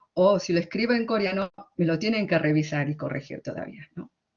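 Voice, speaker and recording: A woman with an Argentine accent, at a moderate pace. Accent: Argentine Spanish, fully. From Argentina. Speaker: literary translator and academic. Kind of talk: conference talk. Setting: conference. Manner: hesitant, with fillers.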